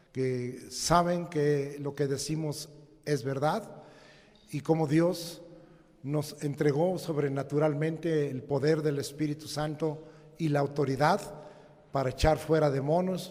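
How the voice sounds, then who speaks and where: With audible room echo and noticeable background noise, a man at a fairly high pitch talks at a very slow pace in fairly even intonation. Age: 70s. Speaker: pastor. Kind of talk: sermon. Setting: church.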